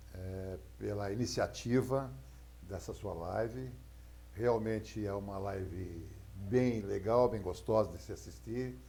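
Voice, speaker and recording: A man's fairly low, dark, mellow and somewhat breathy voice at a very slow pace, with very wide pitch swings, big swings in loudness and audible room echo. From Itapevi, São Paulo, Brazil. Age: 60s. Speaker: politician. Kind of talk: casual interview.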